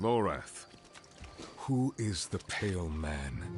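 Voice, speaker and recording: A put-on character voice speaks at a very slow pace over clear background noise. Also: man, very deep, low pitch for a man. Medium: video game. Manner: terse, measured.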